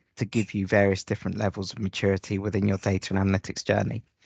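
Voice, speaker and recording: A man with a British accent talks at a very fast pace, the sound dry and close with no echo over a quiet background. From UK. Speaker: data analytics presenter. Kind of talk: tutorial.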